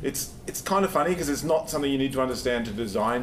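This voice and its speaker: There is audible room echo and noticeable background noise. A man talks in an Australian accent. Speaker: software engineer, conference speaker. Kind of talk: conference talk. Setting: stage with audience. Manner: fast when nervous; casual, halting with fillers.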